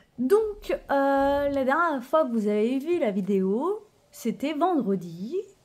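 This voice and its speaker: Speaking at a very slow pace, a woman with a high pitch makes very wide pitch swings. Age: 30s. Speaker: budgeting vlogger. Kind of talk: casual vlog tutorial. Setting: at home apartment. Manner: hesitant, many fillers.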